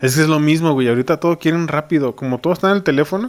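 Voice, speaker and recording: A man talks at a very fast pace. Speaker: podcast host. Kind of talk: casual chat. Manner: animated.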